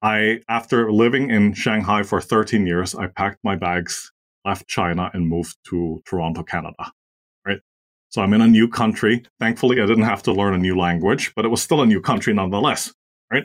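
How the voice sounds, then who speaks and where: In a German accent, a man speaks at a fairly quick pace and a fairly low pitch with ordinary pitch variation. The recording is very clean with a silent background, and the sound is dry and close with no echo. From Austria. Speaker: marketing agency co-founder. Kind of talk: interview.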